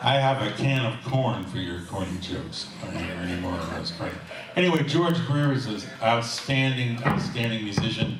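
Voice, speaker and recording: Music in the background and audible room echo behind a man's medium-pitched voice at a moderate pace. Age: 70s. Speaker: jazz musician and bandleader. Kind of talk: live stage banter. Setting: stage with audience. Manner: halting.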